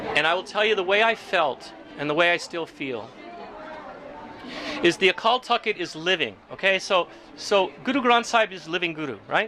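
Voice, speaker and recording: A man's high, raised and projected voice at a moderate pace, with lively intonation over crowd noise in the background. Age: 60s. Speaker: Sikh community member sharing oral history. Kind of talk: oral history interview. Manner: halting.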